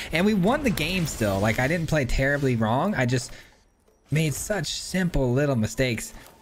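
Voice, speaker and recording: A man with lively intonation over music in the background. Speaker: gaming content creator. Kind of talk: gameplay commentary. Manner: casual, sometimes mumbling.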